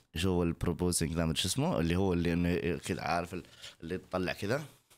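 At a very fast pace, a man with a very deep, low pitch talks with ordinary pitch variation. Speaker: content creator reacting to TikTok videos. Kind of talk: casual reaction video. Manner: loud; animated. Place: home room. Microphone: studio mic.

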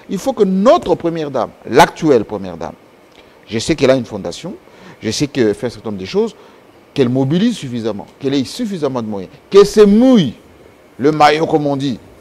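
A man talks at a very fast pace, broken by long, frequent pauses. His loudness swings widely and his pitch swings very widely. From DR Congo, Kasai region; DR Congo. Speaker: political commentator; guest. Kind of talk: interview; interview answer. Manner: halting. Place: studio. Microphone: lapel.

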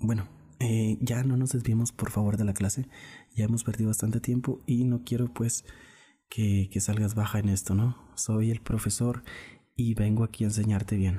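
On a very clean recording with a silent background, a man speaks in a medium pitch with a dark, mellow tone, somewhat breathy, with very even loudness and monotone, flat intonation.

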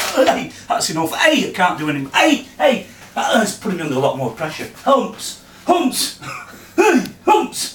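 A man's high-pitched voice with very wide pitch swings, light background noise and audible room echo. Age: 40s. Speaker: man showing his tics. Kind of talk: casual talk at home. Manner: frequent involuntary vocal tics and outbursts. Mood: strained, under pressure. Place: kitchen. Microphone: camera far.

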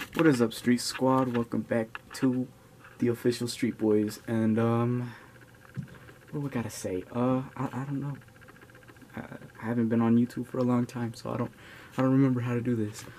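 Amid light background noise, a man speaks with monotone, flat intonation and long, frequent pauses. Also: moderate pace. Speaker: vlogger. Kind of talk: casual vlog chat. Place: home room. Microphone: phone near.

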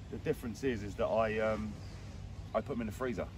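A man with a normal speaking voice talks at a fairly quick pace and a fairly low pitch, with ordinary pitch variation. The sound is dry with no echo, over light background noise. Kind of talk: interview answer. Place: waterside.

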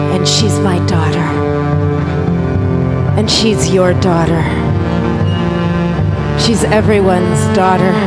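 A woman speaks very slowly, leaving long, frequent pauses. Loud noise fills the background. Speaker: poet and spoken word performer. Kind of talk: poetry reading over music. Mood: passionate, grieving. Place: stage. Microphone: handheld.

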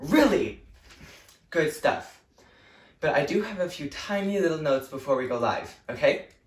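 A man is speaking at a moderate pace. Room echo is audible. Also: long, frequent pauses. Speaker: actor playing a show director. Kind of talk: scripted comedic monologue. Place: home room. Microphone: camera far.

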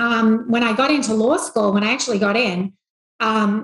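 Speech at a moderate pace, with audible room echo and a quiet background. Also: woman. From rural Australia. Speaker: investment bank CEO; podcast guest. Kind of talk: interview. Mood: reflective, warm storytelling. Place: home room. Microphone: video call.

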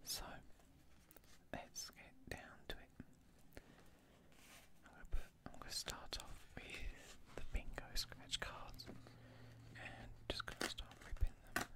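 Someone whispers at a very slow pace. Long pauses come frequently. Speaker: ASMR creator. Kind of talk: ASMR video, soft-spoken commentary while scratching lottery cards. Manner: soft-spoken. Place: home room.

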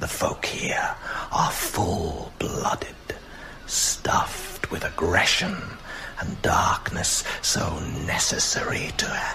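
In a put-on character voice, a man speaks at a very slow pace. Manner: suave, menacing, courtly.

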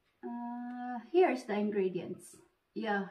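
Against a quiet background, a woman talks at a very slow pace. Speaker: vlogger. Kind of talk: casual vlog chat. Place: home room. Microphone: phone near.

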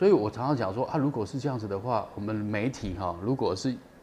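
Against light background noise, a man speaks in a somewhat breathy voice with ordinary pitch variation. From Taiwan. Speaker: documentary director, former TV cameraman; guest. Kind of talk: interview. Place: studio.

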